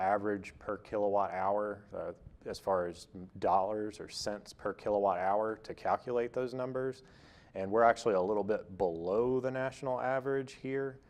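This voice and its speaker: In a Tennessee accent, a man with a fairly low pitch talks at a moderate pace. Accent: US South, Tennessee. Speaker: utility energy efficiency presenter. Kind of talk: lecture. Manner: hesitant with fillers.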